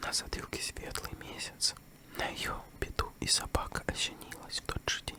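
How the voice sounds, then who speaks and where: With noticeable background noise behind it, a whisper proceeds at a moderate pace. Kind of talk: ASMR fairy tale reading. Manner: close whisper.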